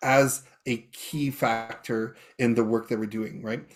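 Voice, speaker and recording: A man speaks with a Canadian prairie accent. His pace is fairly slow and his intonation fairly even. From Canadian prairies, Saskatchewan (Métis). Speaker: professor, event emcee. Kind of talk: panel talk. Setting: video call. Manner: halting, many fillers and restarts.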